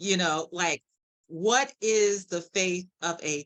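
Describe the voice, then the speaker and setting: A woman speaks in a fairly low voice. The background is quiet. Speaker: guest speaker, cancer survivor. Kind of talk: interview testimony. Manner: animated, loud at times.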